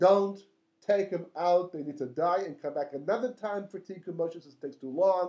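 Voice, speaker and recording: A man's high voice races along at a very fast pace, its pitch varying in an ordinary way. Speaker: rabbi teaching Torah. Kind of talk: torah lecture. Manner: halting, with fillers and repetitions.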